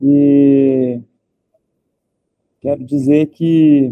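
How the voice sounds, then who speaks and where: This man's voice sits at a fairly high pitch. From Brazil, Minas Gerais. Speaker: part-time trader. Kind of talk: live stream casual chat. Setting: live video stream. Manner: halting.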